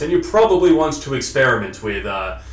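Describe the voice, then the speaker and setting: Talking at a moderate pace with lively intonation, a man has a plain, everyday voice. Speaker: voice coach / vlogger giving voice lessons. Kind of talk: instructional talk to camera, voice lesson. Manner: conversational, explanatory.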